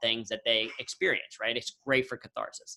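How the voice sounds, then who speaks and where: In a Midwestern US accent, a man talks at a fairly quick pace with a bright, sharp tone. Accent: General American, Midwestern. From Ohio, US Midwest. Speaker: humor and workplace speaker. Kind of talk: interview on video call. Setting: video call.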